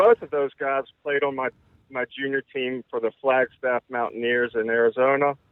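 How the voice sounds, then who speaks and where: A man is talking. His pace is moderate. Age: 40s. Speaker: former junior hockey player. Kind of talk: casual chat. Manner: halting.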